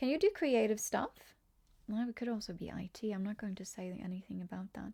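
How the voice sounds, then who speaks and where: A woman's fairly high, somewhat breathy voice with a dark, mellow tone, a fairly quick pace and ordinary pitch variation, in a dry, close sound with no echo. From Norway. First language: Norwegian. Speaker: tarot reader, streamer. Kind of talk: live-stream tarot reading with chat. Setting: live stream at home computer. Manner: chatty, scattered.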